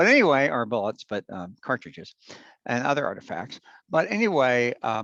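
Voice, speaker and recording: Dry and close with no echo, a man with an American accent speaks at medium pitch and a moderate pace, his bright, sharp tone moving in very wide pitch swings. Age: 60s. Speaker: amateur historian presenter. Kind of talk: lecture. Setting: recorded at home. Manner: halting, many fillers and restarts.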